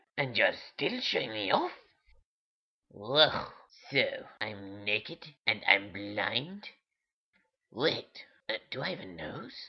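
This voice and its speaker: In a cartoonish character voice, a man at medium pitch speaks at a fairly slow pace with long, frequent pauses. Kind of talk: comic puppet voice. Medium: puppet show. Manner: indignant, haughty, easily scandalised; petulant, teasing.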